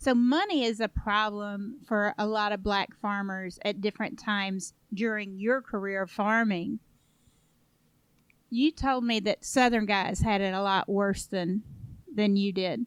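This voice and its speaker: In an unremarkable speaking voice, a woman talks at a fairly slow pace with a medium pitch and fairly even intonation, with a dry, close sound that has no echo. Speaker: podcast host. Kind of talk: interview question.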